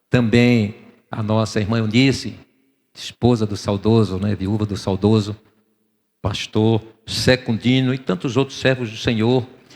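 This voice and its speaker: With long, frequent pauses, a man speaks at a fairly slow pace, his fairly low pitch carried in fairly even intonation. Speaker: pastor. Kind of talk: sermon. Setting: church.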